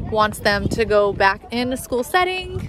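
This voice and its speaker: A woman at a very slow pace, dry sound with no echo, noticeable background noise behind her. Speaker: parent vlogger. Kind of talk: casual vlog chat. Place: street. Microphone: phone near.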